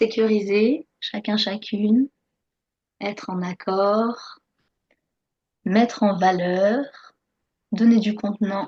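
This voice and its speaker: Her voice is fairly high-pitched, somewhat breathy and dark and mellow in tone, as the woman speaks at a very slow pace with fairly even intonation and long, frequent pauses. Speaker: workshop facilitator. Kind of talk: online workshop.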